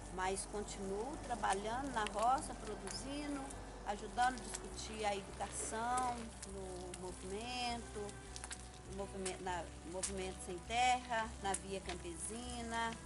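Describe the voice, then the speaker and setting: Music in the background and audible room echo accompany a woman speaking at a fairly slow pace. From Minas Gerais, Brazil (Bom Jesus do Galho area). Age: 60s. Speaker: rural worker and agrarian reform educator. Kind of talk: documentary interview testimony. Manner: halting, with frequent fillers.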